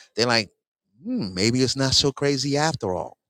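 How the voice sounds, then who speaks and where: A man's bright, sharp tone on a very clean recording with a silent background. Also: dry, close sound with no echo. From New York City. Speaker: podcast host. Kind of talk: casual chat. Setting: outdoors in London.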